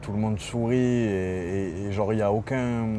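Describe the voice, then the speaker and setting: A man talks in a fairly low voice with ordinary pitch variation. Room echo is audible, and background noise is noticeable. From Marseille, southern France. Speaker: rapper. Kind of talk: interview. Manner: hesitant, many fillers; animated storytelling.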